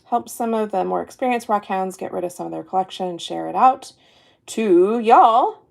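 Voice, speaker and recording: This woman has an ordinary speaking voice at a fairly high pitch. She talks fairly quickly, with ordinary pitch variation. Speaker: online rock seller. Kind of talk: live sale stream.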